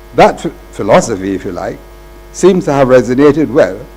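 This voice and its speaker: A man's fairly high voice moves at a moderate pace, with noticeable background noise behind it. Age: 80s+. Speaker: retired university accountant, honoree. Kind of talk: ceremonial acceptance speech. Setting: ceremony with audience. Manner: formal.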